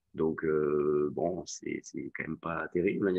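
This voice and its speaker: Here a man speaks with fairly even intonation. His pitch is very deep and low. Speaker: market analyst. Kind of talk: market commentary. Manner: hesitant, many fillers.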